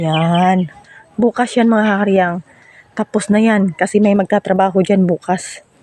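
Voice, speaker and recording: The talking moves at a fairly slow pace. Noticeable background noise runs underneath. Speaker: vlogger. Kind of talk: casual vlog walkthrough.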